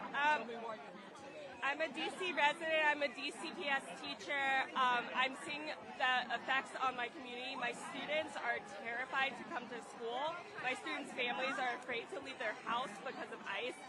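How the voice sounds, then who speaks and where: Crowd noise and audible room echo surround a raised, projected voice talking at a moderate pace with ordinary pitch variation. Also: woman, high pitch for a woman. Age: 30s. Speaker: schoolteacher, protester. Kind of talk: street interview. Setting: outdoors at a protest march.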